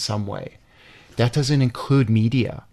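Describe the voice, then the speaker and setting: With a Chicago accent, a man speaks at a moderate pace and medium pitch, keeping his intonation fairly even. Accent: Chicago American English. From US Midwest, Chicago. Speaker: hotel founder and heritage preservationist. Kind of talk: interview. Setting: studio.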